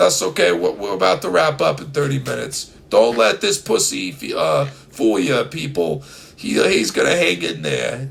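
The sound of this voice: A man puts on a hoarse character voice in a New York accent, with a medium pitch and a moderate pace and hardly any pauses.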